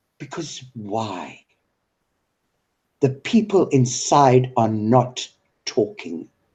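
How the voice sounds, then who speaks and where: A medium-pitched man speaks in a somewhat breathy voice. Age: 60s. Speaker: online discussion host. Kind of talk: heated political discussion. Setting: live video call broadcast. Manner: animated.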